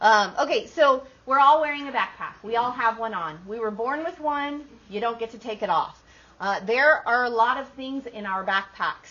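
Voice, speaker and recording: At a moderate pace, a high-voiced woman talks with lively intonation and big swings in loudness. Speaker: workshop presenter. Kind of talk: workshop talk.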